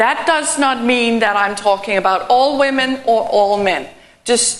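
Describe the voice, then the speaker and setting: A woman with a European accent, fairly high pitch and lively intonation at a fairly slow pace, with audible room echo and noticeable background noise. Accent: non-native European English. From Denmark. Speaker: keynote speaker, transport consultant. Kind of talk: conference presentation.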